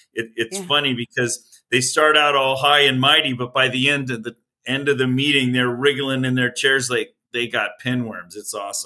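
A man at a medium pitch and moderate pace, with an ordinary speaking voice, fairly even intonation and hardly any pauses. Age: 60s. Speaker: physicist and election integrity activist. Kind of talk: interview.

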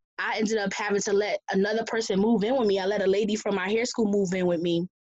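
A woman with an American accent talks at a fairly quick pace. She has an ordinary speaking voice at medium pitch. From Connecticut. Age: 30s. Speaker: guest sharing life story. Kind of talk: testimony.

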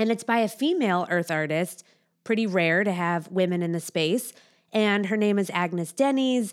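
Her pitch is medium, with ordinary variation. The woman keeps a moderate pace. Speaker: art-savvy co-host. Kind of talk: casual podcast conversation about art. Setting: recording studio. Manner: articulate, polished, animated.

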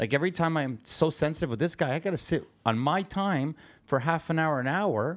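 A man with a Canadian accent, fairly high pitch, ordinary pitch variation and a fairly quick pace, in a very clean recording with a silent background. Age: 50s. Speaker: podcast co-host and construction business owner. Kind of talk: casual chat. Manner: blunt, direct.

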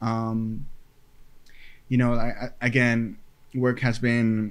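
Audible room echo on a man's voice at a medium pitch. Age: 20s. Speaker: podcast host. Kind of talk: casual solo monologue. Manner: halting, many fillers and repetitions.

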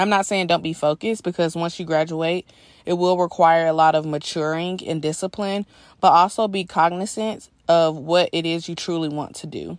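In an American accent, a woman with a fairly low pitch and an ordinary speaking voice talks at a moderate pace with fairly even intonation, over a quiet background. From US South, Georgia. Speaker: software sales professional and aspiring PA. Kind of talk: personal testimony.

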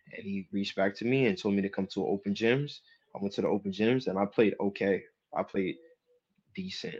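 Talking at a very fast pace, a man with a New Jersey accent uses a fairly low pitch with ordinary pitch variation. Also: quiet background. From New Jersey, Jersey City. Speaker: professional basketball player. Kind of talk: casual interview.

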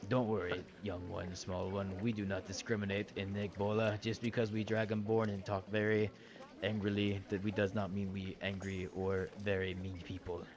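Over clear background noise, a man does a gruff put-on character voice at a fairly low pitch. His pace is moderate. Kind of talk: broken, stilted speech. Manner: angry-sounding but kind, reassuring.

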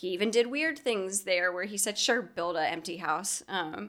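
Speaking at a fairly slow pace, a woman with a medium pitch and lively intonation is heard in a very clean recording with a silent background. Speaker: podcast host. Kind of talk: casual chat. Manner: animated; spooky narration in intro.

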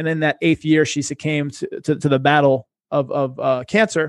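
With an American accent, a man speaks at a moderate pace and a fairly high pitch. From Boston, US. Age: 30s. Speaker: investment advisor. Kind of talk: casual interview. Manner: animated.

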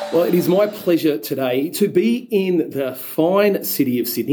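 With an Australian accent, a man speaks at a moderate pace. His intonation is lively, and background noise is noticeable. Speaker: pool industry podcast host. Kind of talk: casual podcast narration and interview. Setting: on location at a trade event. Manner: animated.

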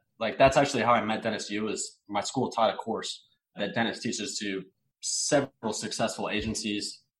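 Fairly even intonation and a moderate pace from a man at medium pitch, in an ordinary speaking voice. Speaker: personal branding director. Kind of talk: casual interview.

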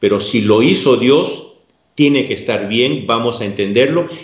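A man's lively intonation amid audible room echo. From Peru. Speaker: religious lay organization president. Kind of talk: interview on theology.

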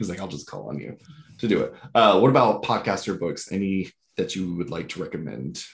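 A man with an American accent and a very deep, low pitch speaks at a fairly quick pace, using lively intonation and vocal fry. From US South, Georgia. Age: 20s. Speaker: podcast host. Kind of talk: casual interview.

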